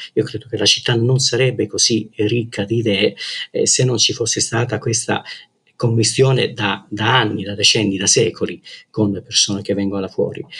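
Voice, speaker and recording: A man at medium pitch, moderate pace, monotone, flat intonation. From Calabria, southern Italy. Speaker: journalist. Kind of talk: interview. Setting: remote call. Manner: hesitant, many fillers.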